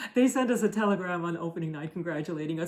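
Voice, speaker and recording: The pace is fairly quick. Background noise is noticeable throughout. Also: woman. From Germany. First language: German. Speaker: theater actor and podcast co-host. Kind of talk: casual conversation. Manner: hesitant, with many fillers.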